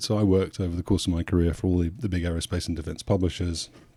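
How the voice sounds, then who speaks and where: In a very clean recording with a silent background, a voice with a dark, mellow tone speaks with a British accent. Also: man. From England, Suffolk. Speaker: aviation journalist and podcaster. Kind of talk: podcast interview. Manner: halting, with frequent repeats.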